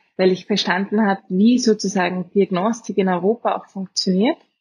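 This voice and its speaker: A woman's somewhat breathy, medium-pitched voice with a slight Austrian accent, fairly slow and fairly even in intonation, with a dry, close sound and no echo. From Austria, Vienna. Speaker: biotech co-founder, molecular biologist. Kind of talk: interview conversation. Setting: remote call from Vienna.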